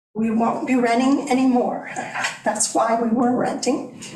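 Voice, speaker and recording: Speaking fairly slowly, the woman's voice carries audible room echo. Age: 60s. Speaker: property owner applicant. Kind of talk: public testimony at a planning board meeting.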